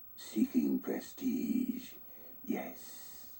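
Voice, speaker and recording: Fairly high pitch in a put-on character voice. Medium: video game. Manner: measured, formal.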